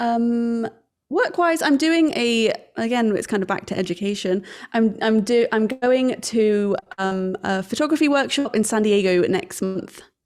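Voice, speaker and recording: Speaking in an English accent at a fairly slow pace, a woman uses a fairly high pitch with lively intonation. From England. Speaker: wedding photographer. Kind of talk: casual chat.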